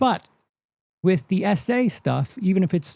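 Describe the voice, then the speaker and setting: A man's high-pitched voice at a very slow pace, dark and mellow in tone, with lively intonation, dry and close with no echo, on a very clean recording with a silent background. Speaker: movie commentary streamer. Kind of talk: live stream reaction commentary. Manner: stammer; halting, many repeats and fillers.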